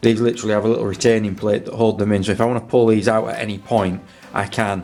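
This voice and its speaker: A man mumbling at a very fast pace with fairly even intonation, music in the background. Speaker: motorcycle restorer, video maker. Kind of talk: workshop tutorial. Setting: cold home garage. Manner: casual, halting.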